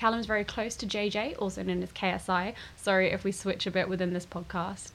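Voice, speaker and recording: Vocal fry at a fairly quick pace. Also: woman. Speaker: podcast host. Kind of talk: casual interview chat. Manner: chatty, laughs often.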